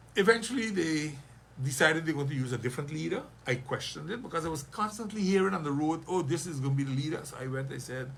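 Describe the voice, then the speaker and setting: A very fast man's voice, fairly high in pitch and lively in intonation, with audible room echo. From St. Maarten. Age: 60s. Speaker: politician. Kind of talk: radio interview. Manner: animated.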